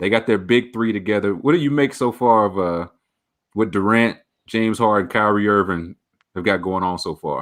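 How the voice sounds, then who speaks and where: In an unremarkable speaking voice with an American accent, a man talks at a moderate pace and fairly low pitch with ordinary pitch variation against a quiet background. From Dallas, Texas. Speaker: podcast host. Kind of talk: interview.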